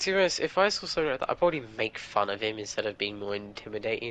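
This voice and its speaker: A man speaks with an English accent at a very fast pace. His tone is bright and sharp. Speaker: gamer. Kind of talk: casual chat.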